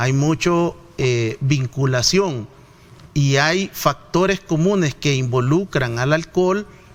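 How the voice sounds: A man talks slowly with lively intonation. His pitch sits fairly high.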